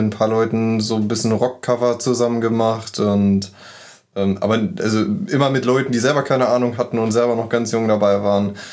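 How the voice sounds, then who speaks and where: A man's normal speaking voice at a medium pitch, fairly even in intonation, at a fairly quick pace. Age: 20s. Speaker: metal band guitarist. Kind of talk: casual interview chat.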